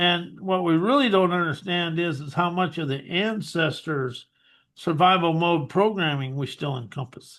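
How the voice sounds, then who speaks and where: A high-pitched man's voice with an American accent and ordinary pitch variation. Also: moderate pace. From rural US West, cattle ranch. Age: 60s. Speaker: hypnotherapist and author. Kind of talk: interview.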